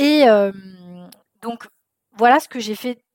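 The woman's delivery has ordinary pitch variation and a moderate pace, captured with a dry, close sound and no echo. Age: 30s. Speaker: therapist and anxiety coach podcast host. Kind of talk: solo podcast monologue. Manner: casual, with frequent hesitations.

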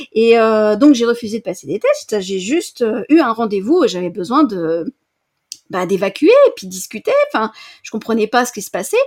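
This woman has a normal speaking voice with a fairly high pitch, lively intonation, a moderate pace and big swings in loudness. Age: 40s. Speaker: coach, former librarian. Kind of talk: interview testimony.

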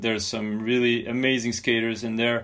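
A man speaks with a French accent. His pace is moderate. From France. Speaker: podcast host. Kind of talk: casual interview.

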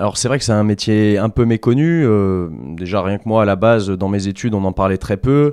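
A man speaks at a fairly low pitch in a dark, mellow tone, recorded with a dry, close sound with no echo over a quiet background. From Vendée, western France. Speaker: rehabilitation sports coach. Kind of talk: casual interview. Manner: halting.

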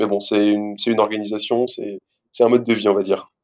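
A man speaks at a moderate speed with quiet surroundings. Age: 20s. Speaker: physiotherapist. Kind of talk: casual interview. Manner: animated.

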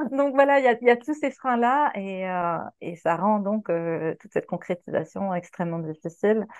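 Over a quiet background, a woman speaks at a moderate pace and medium pitch with lively intonation. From Quebec. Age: 40s. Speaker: sex worker. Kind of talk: interview. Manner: hesitant, many fillers.

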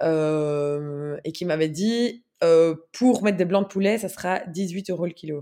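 On a very clean recording with a silent background, a woman speaks at a fairly low pitch with a dark, mellow tone and ordinary pitch variation. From Belgium, Brussels. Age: 30s. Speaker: sustainable food consultant. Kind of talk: casual interview chat. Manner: halting, many fillers.

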